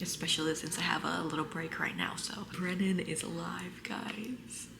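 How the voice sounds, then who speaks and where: A fairly low-pitched woman at a moderate pace, with noticeable background noise. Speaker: book vlogger. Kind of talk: casual vlog chat. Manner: whispering.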